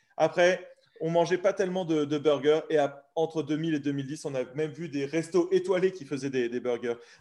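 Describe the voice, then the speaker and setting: A man with an ordinary speaking voice, fairly high in pitch, keeps a moderate pace and ordinary pitch variation. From France. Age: 30s. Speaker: barbecue blogger. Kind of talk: casual interview.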